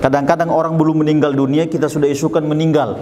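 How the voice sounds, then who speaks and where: A man speaks with a Sulawesi accent over noticeable background noise. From Sulawesi, Indonesia. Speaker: Islamic preacher. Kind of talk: religious talk. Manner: conversational, frequent fillers.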